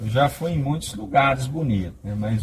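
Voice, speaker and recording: A man talks with a normal speaking voice at a fairly slow pace. His intonation is lively. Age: 50s. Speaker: truck driver. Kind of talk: casual interview.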